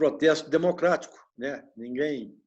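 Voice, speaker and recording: Music plays in the background as a man with a fairly high pitch speaks at a fairly slow pace. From Minas Gerais, Brazil. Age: 60s. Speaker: retiree. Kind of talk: interview. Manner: halting.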